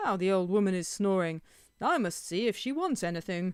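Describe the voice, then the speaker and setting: At a middle pitch and a fairly quick pace, a put-on character voice comes through a very clean recording with a silent background. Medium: read story.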